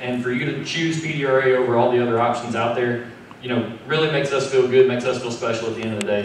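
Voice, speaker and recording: Over light background noise and audible room echo, a man talks at a very fast pace with fairly even intonation. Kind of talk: press conference speech. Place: meeting room.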